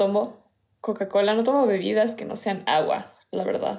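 This woman's voice sits fairly high. She talks at a fairly slow pace. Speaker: podcast co-host. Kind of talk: casual chat. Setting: recorded remotely, separately.

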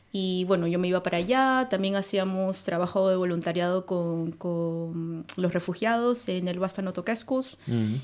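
Speaking at a fairly slow pace with hardly any pauses, a woman with an unremarkable speaking voice keeps a medium pitch and ordinary pitch variation. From Peru, Lima. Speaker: immigrant community organizer. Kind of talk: casual chat.

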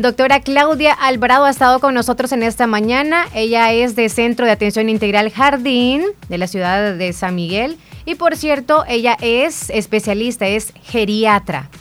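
A woman's normal speaking voice, fairly high in pitch, with ordinary pitch variation and a moderate pace. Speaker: radio host. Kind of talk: news reading; casual chat.

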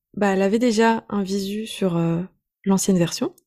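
Her tone dark and mellow, a woman speaks at a medium pitch with fairly even intonation. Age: 20s. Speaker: online business coach. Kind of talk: casual interview.

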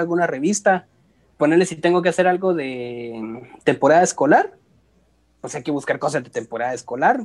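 The man's voice sits high in pitch. He speaks at a moderate pace. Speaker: graphic designer. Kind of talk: casual chat.

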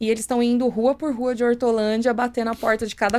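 A woman's ordinary speaking voice, fairly high in pitch, at a fairly quick pace. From São Paulo ABC region, Brazil. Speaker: municipal economic development secretary. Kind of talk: podcast interview.

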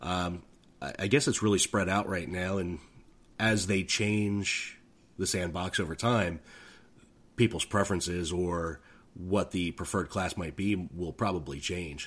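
Speaking at a fairly slow pace with long, frequent pauses, a man with a very deep, low voice keeps his intonation fairly even. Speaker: gamer, streamer. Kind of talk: casual chat. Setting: online call.

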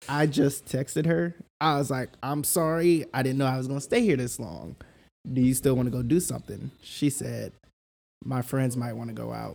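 At a medium pitch and moderate pace, a man speaks in a plain, everyday voice with ordinary pitch variation. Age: 30s. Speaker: podcast guest. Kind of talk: casual chat.

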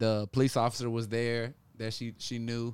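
The recording is very clean with a silent background, and a man speaks in an American accent. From US South, Memphis, Tennessee. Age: 30s. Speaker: pro boxer and boxing coach. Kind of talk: casual interview.

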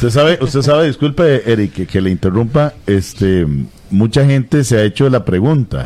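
This man has a normal speaking voice with a medium pitch and lively intonation. His loudness stays very even at a moderate pace. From Costa Rica, Limón. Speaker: radio announcer. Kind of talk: interview.

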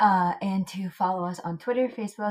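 With a normal speaking voice, a woman talks at a fairly low pitch and a moderate pace, with ordinary pitch variation. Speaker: podcast host, seagrass researcher. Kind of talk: casual chat.

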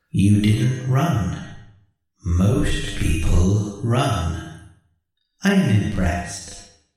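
A man's robotic, put-on character voice, fairly low in pitch, at a very slow pace with strong echo

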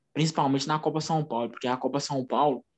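A man with a plain, everyday voice and a fairly high pitch. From Brazil, Minas Gerais (Uberlândia). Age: 20s. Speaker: former footballer and physical education student. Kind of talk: casual interview.

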